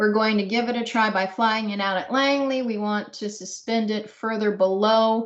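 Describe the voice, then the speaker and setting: At a moderate pace and with fairly even intonation, this is a normal speaking voice. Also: woman. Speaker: research engineer presenting. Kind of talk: technical Q&A.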